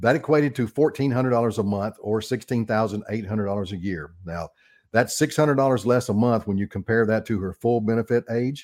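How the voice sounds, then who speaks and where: A normal speaking voice from a man, medium in pitch, at a fairly quick pace with ordinary pitch variation, in a very clean recording with a silent background. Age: 60s. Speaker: radio host, financial advisor. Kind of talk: radio talk show on retirement finance. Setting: radio studio. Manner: casual, conversational with frequent fillers.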